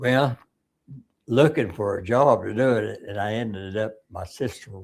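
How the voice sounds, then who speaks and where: A man with an Arkansas accent talks at a fairly slow pace. His pitch is medium, with ordinary pitch variation. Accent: rural Southern US (Arkansas). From Arkansas, US South. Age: 90s. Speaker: war veteran. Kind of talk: interview. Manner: halting.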